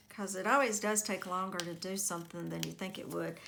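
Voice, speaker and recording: Over noticeable background noise and audible room echo, a woman talks quietly at a fairly quick pace and a medium pitch. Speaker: crafting youtuber. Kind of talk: craft tutorial.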